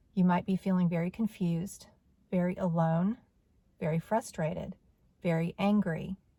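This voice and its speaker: A woman speaks at a moderate pace with long, frequent pauses, her fairly low voice somewhat breathy. Her tone is dark and mellow, the intonation monotone and flat. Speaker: video blogger. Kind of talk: personal testimony monologue. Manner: halting.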